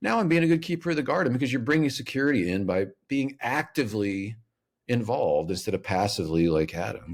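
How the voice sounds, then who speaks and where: Very wide pitch swings and vocal fry mark this man's very fast delivery. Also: medium pitch for a man, very clean recording, silent background. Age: 50s. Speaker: author and speaker. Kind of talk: podcast interview. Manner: lawyerly tone.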